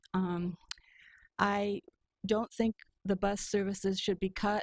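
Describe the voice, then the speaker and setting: A woman in an American accent, very slow and monotone with flat intonation. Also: medium pitch for a woman, dry, close sound with no echo. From Michigan, Muskegon. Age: 70s. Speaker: public commenter. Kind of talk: public comment at meeting. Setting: county board meeting. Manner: hesitant with frequent ums.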